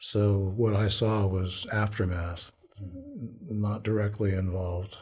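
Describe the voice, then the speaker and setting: Very slow and somewhat breathy, a man with an American accent speaks at a fairly low pitch in a monotone, flat intonation, with audible room echo. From abroad, Foreign Service childhood, later Washington. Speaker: Vietnam War veteran. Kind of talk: oral history interview. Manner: halting.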